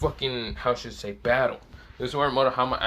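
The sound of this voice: The intonation stays fairly even in the unforced reading voice.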